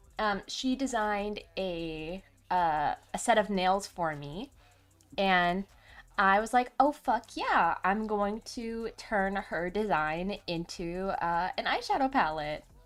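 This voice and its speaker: The speaker talks at a very slow pace with ordinary pitch variation. Music plays in the background. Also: woman, medium pitch for a woman. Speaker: VTuber streamer. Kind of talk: casual livestream chat. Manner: hesitant, many fillers.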